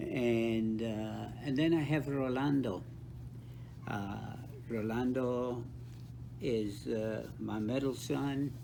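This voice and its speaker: Speaking with an American accent, a man talks at a very slow pace with long, frequent pauses. His medium-pitched voice keeps a fairly even intonation, and the room echo is audible. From South Texas, Rio Grande Valley (Brownsville). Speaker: author and counselor with doctorate. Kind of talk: interview.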